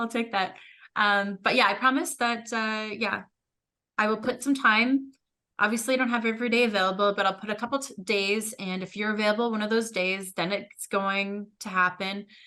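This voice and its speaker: A woman speaks loudly in a bright, sharp tone. Her fairly high voice keeps fairly even intonation. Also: moderate pace. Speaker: podcast co-host. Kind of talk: casual chat.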